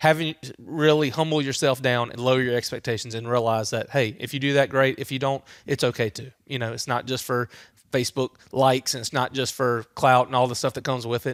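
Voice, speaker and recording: A man's medium-pitched voice with a Louisiana accent, animated in tone and fairly quick, in a dry, close sound with no echo on a very clean recording with a silent background. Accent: Louisiana Southern US. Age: 30s. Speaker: hunter and father. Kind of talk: podcast interview. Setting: outdoor entertainment area. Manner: casual, animated.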